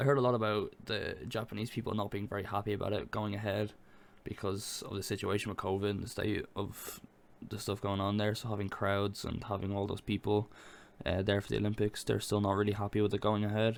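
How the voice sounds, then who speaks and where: A man speaks with an Irish accent at a fairly quick pace. His fairly low voice stays monotone and flat in a very clean recording with a silent background. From Ireland. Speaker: gaming podcast co-host. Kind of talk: casual chat.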